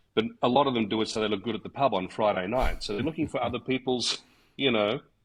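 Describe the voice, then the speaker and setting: With an Australian accent, a man talks at a very fast pace at medium pitch with ordinary pitch variation. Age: 60s. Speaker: martial arts instructor. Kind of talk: casual chat. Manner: halting, many fillers.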